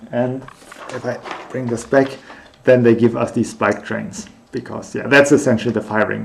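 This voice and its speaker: Against noticeable background noise, a man at a medium pitch speaks with ordinary pitch variation. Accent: German. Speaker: researcher streaming their work. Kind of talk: unscripted live stream thinking aloud. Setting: live stream. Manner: halting, many fillers.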